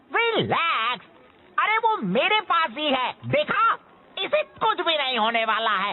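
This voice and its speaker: Delivered at a fairly slow pace, a put-on character voice rides a high pitch with very wide pitch swings. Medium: fan dub. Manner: whiny, defensive.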